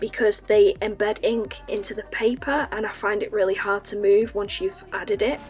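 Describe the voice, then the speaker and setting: A woman with a Northern English accent speaks at a moderate pace in a fairly high voice, with music playing in the background. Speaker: artist. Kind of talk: casual art review talk to camera.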